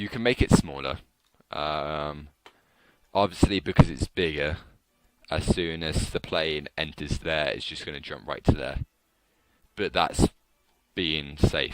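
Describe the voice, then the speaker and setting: A man speaks very slowly with a very deep, low pitch and fairly even intonation. The sound is dry and close, with no echo. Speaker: game modding tutorial maker. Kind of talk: screen-recorded game editor tutorial. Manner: casual, hesitant.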